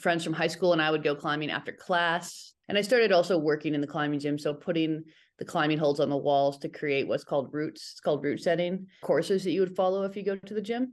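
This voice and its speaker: A woman with a Western US accent, fairly low in pitch with ordinary pitch variation, at a very fast pace with hardly any pauses, against a quiet background. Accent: Western American. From Northern Nevada, US. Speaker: climber, writer and business owner. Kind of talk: casual interview.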